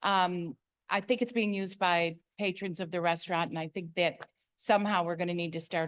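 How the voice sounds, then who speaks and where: A woman talks at a fairly quick pace in a fairly low pitch with fairly even intonation against a quiet background. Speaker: resident making public comment. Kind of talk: public comment at meeting.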